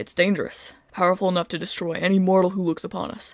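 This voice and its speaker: Putting on a gruff, rumbling character voice at a medium pitch, a woman speaks at a fairly quick pace on a very clean recording with a silent background. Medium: read story. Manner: gruff, grumbling.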